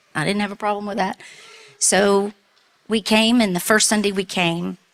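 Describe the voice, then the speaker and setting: In a Southern US accent, a woman speaks with monotone, flat intonation in a dry, close sound with no echo. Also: medium pitch for a woman, moderate pace. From US South. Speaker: church member, relief volunteer. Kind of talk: testimony. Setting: church.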